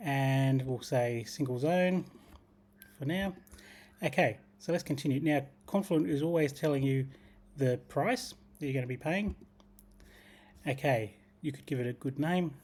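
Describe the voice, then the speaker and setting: On a very clean recording with a silent background, a man with an Australian accent and a fairly high, somewhat breathy voice speaks at a moderate pace, with long, frequent pauses and big swings in loudness. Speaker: tech tutorial creator. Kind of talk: screen-share tutorial.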